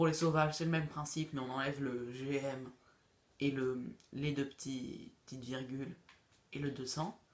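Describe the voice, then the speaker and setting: A man speaks at a moderate pace with a fairly high pitch and monotone, flat intonation. He leaves long, frequent pauses. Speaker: gaming youtuber. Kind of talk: tutorial. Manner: halting; casual.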